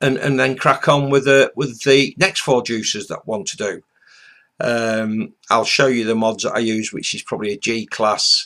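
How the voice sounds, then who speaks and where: On a very clean recording with a silent background, a man with a British accent speaks at a moderate pace and medium pitch, his tone bright and sharp and his pitch variation ordinary. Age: 60s. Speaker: vaping reviewer, retired ex-military. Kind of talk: casual vlog introduction. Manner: hesitant, many fillers.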